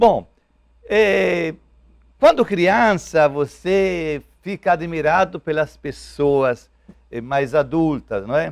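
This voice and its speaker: With an Italian accent and lively intonation, the speaker moves at a very slow pace with long, frequent pauses. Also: man, fairly high pitch for a man. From Italy. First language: Italian (speaking Portuguese). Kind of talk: TV interview. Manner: halting.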